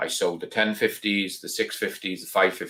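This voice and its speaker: A man speaks at a moderate pace with a Welsh accent. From Wales. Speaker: reloading YouTuber. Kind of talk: live stream chat. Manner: casual, hesitant with many ums.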